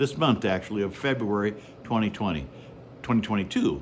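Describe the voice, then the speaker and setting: With an ordinary speaking voice, a man talks at a fairly quick pace and fairly low pitch, his intonation lively. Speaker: podcast host. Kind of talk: show introduction.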